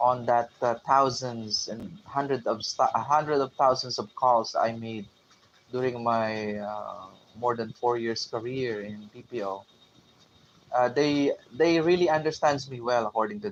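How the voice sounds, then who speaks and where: Speaking with a Filipino accent, a man at medium pitch goes at a fairly slow pace, with ordinary pitch variation and big swings in loudness. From Philippines. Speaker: tech vlogger, former call center agent. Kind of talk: casual livestream talk. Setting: live stream from a boarding house. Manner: halting, many fillers.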